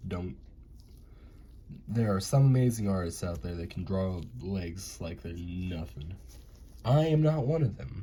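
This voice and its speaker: A man's very deep, low voice with very wide pitch swings and a very slow pace, amid audible room echo and background music. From US, mixed northern and southern. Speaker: amateur animator. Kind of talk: casual drawing commentary. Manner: casual, rambling.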